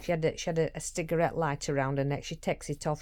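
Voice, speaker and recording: A woman in a Yorkshire accent, very fast pace, dark, mellow tone, ordinary pitch variation, very clean recording with a silent background. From Yorkshire, northern England. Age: 60s. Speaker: vlogger and carer for her mother. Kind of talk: casual vlog monologue. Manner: halting, with frequent restarts.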